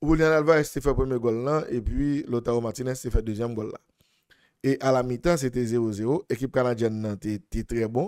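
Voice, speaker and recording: With a Haitian accent, a man speaks at a moderate pace in a dark, mellow tone, showing ordinary pitch variation over a quiet background. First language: Haitian Creole (speaking French). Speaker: football analyst. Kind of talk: sports analysis monologue. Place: studio. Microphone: studio mic.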